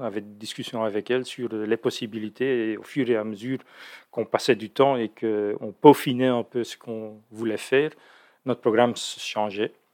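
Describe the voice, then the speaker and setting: Delivery is at a moderate pace with fairly even intonation. The recording is very clean, dry and close, with a silent background and no echo. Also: man. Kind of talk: interview, explanatory talk. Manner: hesitant, many fillers and repetitions.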